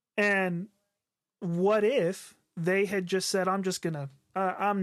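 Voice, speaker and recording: A high-pitched man with a slight Southern US accent and ordinary pitch variation, on a very clean recording with a silent background. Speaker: podcast co-host, worship leader. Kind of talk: casual chat. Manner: halting, many filler words.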